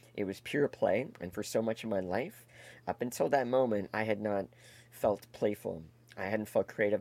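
This man has an unremarkable speaking voice with a fairly low pitch, ordinary pitch variation and a Canadian accent. He talks at a moderate pace, and the sound is dry and close with no echo. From Canada, Toronto area (Etobicoke). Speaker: comedian and improv performer. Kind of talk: casual interview chat. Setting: video call.

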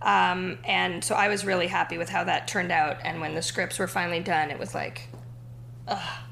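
Her voice is an ordinary speaking voice, and this woman talks at a moderate pace with a fairly low pitch and lively intonation. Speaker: TV writer and actress. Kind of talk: casual interview chat.

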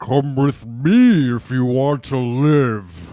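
A man's put-on character voice at medium pitch, delivered at a very slow pace. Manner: wise, commanding.

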